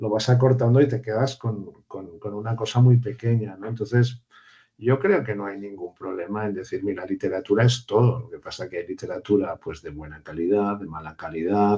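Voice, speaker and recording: A man's somewhat breathy voice with a dark, mellow tone, at a moderate pace with big swings in loudness. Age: 60s. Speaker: university lecturer. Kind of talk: online seminar discussion. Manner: hesitant, with many repetitions and fillers.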